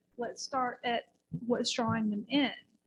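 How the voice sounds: A soft-spoken woman talks at a fairly high pitch with a slightly husky edge. Her intonation stays fairly even.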